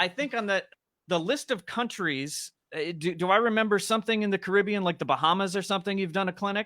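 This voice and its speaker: A man's raised, projected voice, high-pitched with a bright, sharp tone, ordinary pitch variation and a very fast pace. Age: 40s. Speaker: drum company brand manager and drummer. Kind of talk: casual interview chat. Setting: live online stream.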